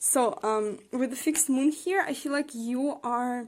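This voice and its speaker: Speaking with a non-native accent at a very slow pace, a woman uses a high pitch on a very clean recording with a silent background. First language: not English. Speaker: tarot card reader. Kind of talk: tarot reading. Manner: hesitant, many fillers.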